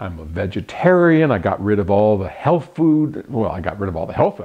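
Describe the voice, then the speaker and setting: Very wide pitch swings mark this voice. It belongs to a man. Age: 70s. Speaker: author and audio company owner. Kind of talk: casual talk to camera. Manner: rambling with false starts.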